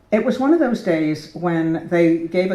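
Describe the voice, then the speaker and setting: A woman with an American accent at medium pitch, very wide pitch swings and a moderate pace, with audible room echo. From United States. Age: 70s. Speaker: portrait painter. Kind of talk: speech to an audience. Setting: gallery opening with audience in a church. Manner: animated.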